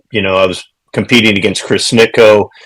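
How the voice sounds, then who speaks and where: Speaking with a fairly low pitch, a man talks in an American accent. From Ohio and Virginia, US. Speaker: retired pro goalkeeper and goalkeeper coach. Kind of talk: podcast interview. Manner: hesitant with many fillers.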